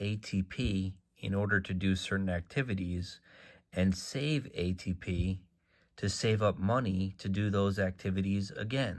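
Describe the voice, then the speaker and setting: Someone soft-spoken talks at a fairly slow pace. The recording is very clean, with a silent background. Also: man. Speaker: author promoting books. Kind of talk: sales pitch. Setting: social media video.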